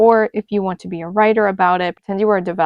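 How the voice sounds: Fairly even intonation shapes a natural reading voice.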